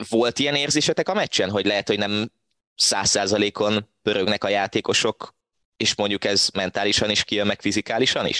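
A man with a fairly low, bright, sharp voice speaks at a fairly quick pace with fairly even intonation. His loudness stays very even in a dry, close sound with no echo. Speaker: football podcast host. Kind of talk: casual football discussion.

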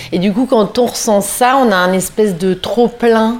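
With fairly even intonation and a medium pitch, a woman speaks as noticeable background noise carries on. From northern France, Lille. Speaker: fashion brand founder. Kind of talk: interview. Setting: at home.

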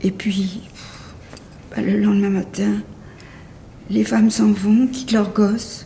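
Very slow speech broken by long, frequent pauses, with noticeable background noise. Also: woman. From Paris, France. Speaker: Holocaust survivor. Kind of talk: testimony. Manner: halting.

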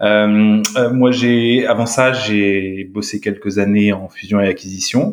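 A man talks at a very slow pace with hardly any pauses. His pitch sits fairly low. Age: 30s. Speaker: startup co-founder. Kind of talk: interview. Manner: halting.

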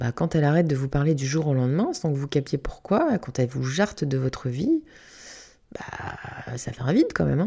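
A woman's very deep, low voice with a dark, mellow tone and ordinary pitch variation, on a very clean recording with a silent background. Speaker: podcast host and hypnotherapist. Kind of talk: solo reflective monologue. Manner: casual, with hesitations.

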